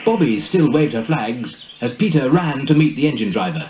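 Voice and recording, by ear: Big pitch swings run through speech at a moderate pace, with audible room echo.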